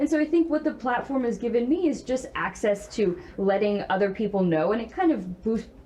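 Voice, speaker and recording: Over noticeable background noise, a woman's fairly high voice moves in very wide pitch swings. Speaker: nonprofit founder. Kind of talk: panel discussion.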